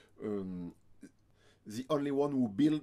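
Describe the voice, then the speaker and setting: A man's medium-pitched voice, dark and mellow in tone, with ordinary pitch variation. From France. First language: French. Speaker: ukulele player and reviewer. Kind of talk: product review. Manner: halting, many hesitations.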